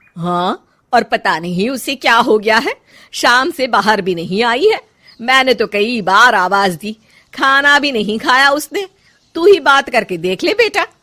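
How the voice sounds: A put-on character voice, bright and sharp, carries lively intonation. It moves at a fairly slow pace with few pauses. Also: woman, fairly high pitch for a woman.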